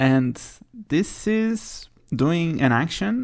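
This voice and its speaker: A man speaks with a non-native accent. His pitch swings very widely. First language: not English. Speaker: podcast host. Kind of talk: solo podcast monologue. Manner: hesitant, filler-heavy.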